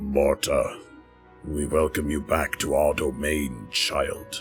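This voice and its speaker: Over clear background music, a man uses a raspy, put-on character voice at a very slow pace. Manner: ominous.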